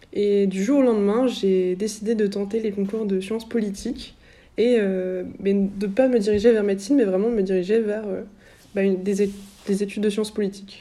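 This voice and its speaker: A woman speaks at a medium pitch in a dark, mellow tone with flat, monotone intonation. She talks at a fairly quick pace, and room echo is audible. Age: 20s. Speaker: founder of a youth political media outlet and author. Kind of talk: interview.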